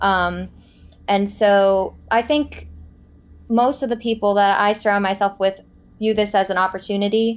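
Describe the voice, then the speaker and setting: A woman speaks in a normal speaking voice at a medium pitch with fairly even intonation. Her pace is fairly slow, and the recording is very clean with a silent background. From Florida. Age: 20s. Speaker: student apprentice. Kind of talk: interview.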